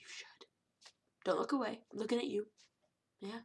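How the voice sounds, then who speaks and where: This woman sounds animated, with a bright, sharp tone. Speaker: cosplay vlogger. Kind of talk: casual vlog monologue. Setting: home webcam recording. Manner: fast.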